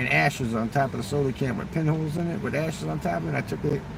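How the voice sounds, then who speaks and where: Amid noticeable background noise, a man talks at a fairly quick pace in an animated tone. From southern Mexico (Chiapas). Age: 60s. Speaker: livestreamer. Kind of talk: casual livestream chat.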